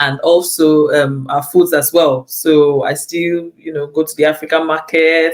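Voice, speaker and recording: The speech moves at a fairly slow pace with hardly any pauses. Noticeable background noise runs underneath. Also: woman. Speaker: lecturer and pastor. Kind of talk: interview. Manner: repetitive, halting.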